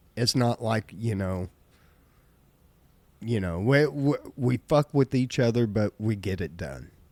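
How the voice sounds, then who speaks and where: A man with a medium-pitched voice speaks at a fairly slow pace with lively intonation and long, frequent pauses, the sound dry and close with no echo. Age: 50s. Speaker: podcast host. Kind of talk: casual chat. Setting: live stream. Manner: loud.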